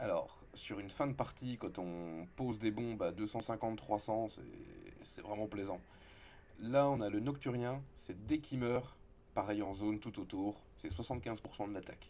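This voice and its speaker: A man speaks at a moderate pace in a fairly low voice with a dark, mellow tone. His pitch varies in an ordinary way. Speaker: video game content creator. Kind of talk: gameplay tutorial. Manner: casual, with hesitations.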